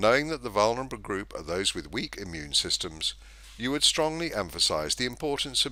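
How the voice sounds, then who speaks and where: Over a silent background in a very clean recording, a man with vocal fry and a bright, sharp tone speaks at a moderate pace with very wide pitch swings. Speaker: narrator. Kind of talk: scripted narration.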